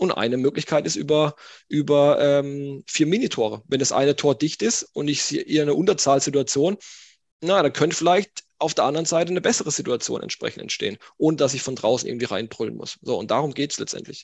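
This man talks at a fairly quick pace. His pitch sits fairly high and shows ordinary variation. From northeastern Baden-Württemberg, small village. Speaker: sports scientist and youth football coach. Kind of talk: podcast interview.

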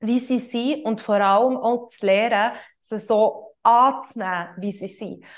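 Over a quiet background, a woman talks at a very slow pace with a fairly high pitch. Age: 20s. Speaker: yoga teacher and coach, podcast host. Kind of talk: solo podcast monologue, explanatory. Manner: hesitant, many filler sounds.

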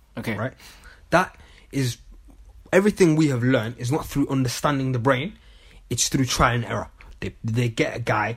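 At a moderate pace, a man with a medium-pitched, somewhat breathy voice speaks with ordinary pitch variation and long, frequent pauses. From Manchester, England. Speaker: podcast co-host. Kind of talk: casual chat.

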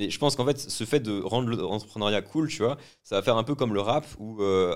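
Very fast speech with ordinary pitch variation comes through on a very clean recording with a silent background. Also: man. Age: 20s. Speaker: podcast host and entrepreneur. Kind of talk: casual chat.

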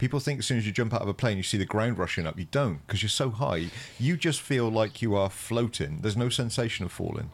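A man with a Gloucestershire accent at a medium pitch, very fast pace and lively intonation, hardly any pauses, on a very clean recording with a silent background. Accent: West Country English, Gloucestershire. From Gloucestershire, England. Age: 40s. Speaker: podcast host and counsellor. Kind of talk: casual interview chat.

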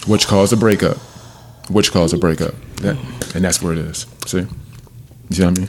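A man with a very deep, low pitch, talking at a very fast pace between long, frequent pauses, over noticeable background noise. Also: ordinary pitch variation. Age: 40s. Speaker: podcast host. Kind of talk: casual chat. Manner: halting, many repetitions.

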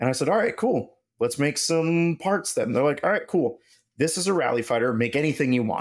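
Recorded very cleanly against a silent background, a man with a fairly high pitch talks at a fairly quick pace, his intonation lively and his loudness very even. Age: 30s. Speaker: engineering manager. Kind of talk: casual chat.

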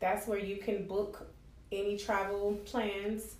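A woman with an American accent speaks at a very slow pace and a medium pitch. Audible room echo and noticeable background noise surround her. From Miami, Florida. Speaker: travel agent and entrepreneur. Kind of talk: interview.

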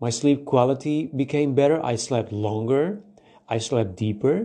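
Fairly slow, lively speech from a man with a non-native accent and a fairly high, dark, mellow voice. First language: not English. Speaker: podcast host. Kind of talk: solo monologue podcast. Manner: halting.

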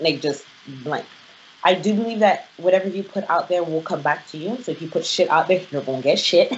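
Over noticeable background noise, a woman talks at a fairly quick pace and a fairly low pitch, with ordinary pitch variation. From Nigeria. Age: 20s. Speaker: podcast co-host. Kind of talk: casual chat.

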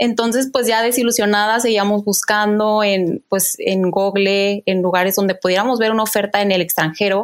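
A woman with a fairly high voice talks at a fairly quick pace in a flat, monotone way. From Mexico, Guadalajara. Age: 30s. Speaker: chef. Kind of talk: casual chat. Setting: video call.

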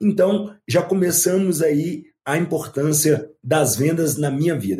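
A man's dark, mellow tone. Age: 50s. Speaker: ultramarathon runner and motivational speaker. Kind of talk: interview.

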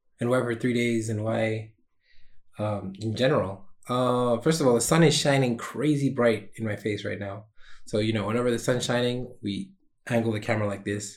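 A man with an ordinary speaking voice talks at a moderate pace and medium pitch, keeping his intonation fairly even. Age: 20s. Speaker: solo podcaster and small streamer. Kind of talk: casual solo vlog monologue. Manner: casual with frequent fillers.

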